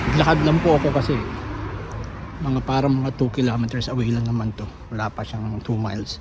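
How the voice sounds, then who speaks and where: A man's fairly quick speech, with ordinary pitch variation, comes through audible room echo and noticeable background noise. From Philippines. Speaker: vlogger. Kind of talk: casual vlog monologue. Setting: outdoors, walking on street. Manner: halting, many fillers.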